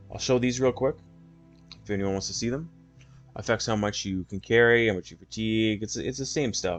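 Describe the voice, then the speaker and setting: Over music in the background, the speaker goes at a very fast pace with ordinary pitch variation. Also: man. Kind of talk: casual gaming walkthrough talk. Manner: soft-spoken.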